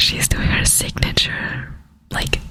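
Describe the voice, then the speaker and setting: A woman is whispering. There is noticeable background noise behind her. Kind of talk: ASMR talk to camera showing collectible cards. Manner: whispered.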